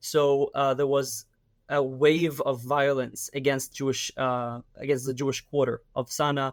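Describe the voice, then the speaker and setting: Speaking fairly slowly in an Israeli accent, a man keeps a flat, monotone delivery at a fairly high pitch, the sound dry and close with no echo. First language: Hebrew. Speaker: activist and army reservist. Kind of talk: interview. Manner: hesitant, many fillers.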